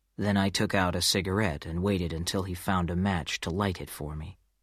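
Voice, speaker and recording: A man with a very deep, low pitch and an American accent talks at a moderate pace with ordinary pitch variation in a very clean recording with a silent background. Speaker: audiobook narrator. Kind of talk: audiobook reading of a crime story.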